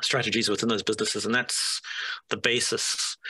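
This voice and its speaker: There is vocal fry in this man's voice. His tone is bright and sharp. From South Africa. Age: 40s. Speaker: stock investor. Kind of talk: presentation.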